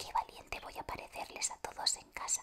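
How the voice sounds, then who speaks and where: Background noise can be clearly heard. Beneath it, whispered words come at a moderate pace. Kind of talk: whispered audiobook reading. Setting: studio, close microphone ASMR. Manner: whispered, soft.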